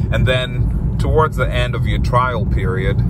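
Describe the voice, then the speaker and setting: A man at a moderate pace, dry sound with no echo, over loud background noise. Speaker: driver vlogger. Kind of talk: casual vlog chat. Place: car. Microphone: phone near.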